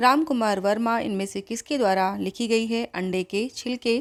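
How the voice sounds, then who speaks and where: An ordinary speaking voice with fairly even intonation, on a very clean recording with a silent background. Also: woman. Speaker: Hindi exam coaching teacher. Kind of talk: quiz-style exam tutorial.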